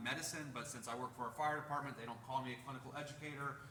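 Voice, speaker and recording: A man talks at a medium pitch with audible room echo. Noticeable background noise is present. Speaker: paramedic and EMS educator. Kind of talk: presentation to a community meeting. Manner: casual, joking.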